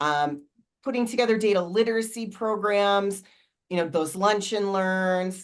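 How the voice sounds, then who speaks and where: A woman talks in an ordinary speaking voice at a medium pitch. Her pace is fairly slow, with ordinary pitch variation. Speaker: data management consultant and company founder. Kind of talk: panel discussion.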